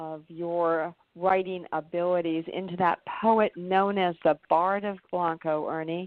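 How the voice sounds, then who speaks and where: A woman with an ordinary speaking voice talks at medium pitch with fairly even intonation. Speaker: radio show host. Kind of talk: radio interview hosting.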